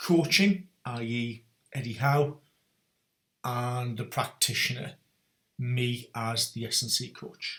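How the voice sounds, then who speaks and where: The speaker has a North East England accent and ordinary pitch variation. The pace is very slow, with long, frequent pauses. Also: man, medium pitch for a man. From North East England (Newcastle). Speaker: strength and conditioning coach, podcast host. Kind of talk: solo podcast monologue.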